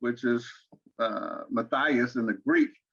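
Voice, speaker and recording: A man speaks with an Arkansas accent. His pace is very slow. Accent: Southern US (Arkansas). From Arkansas, US South. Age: 60s. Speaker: interview guest, father and grandfather. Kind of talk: interview. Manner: halting, many repeated words.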